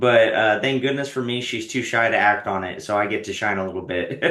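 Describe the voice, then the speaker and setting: A man with a Texan accent at a very fast pace, audible room echo around him. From Texas. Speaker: stand-up comedian. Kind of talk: casual interview chat.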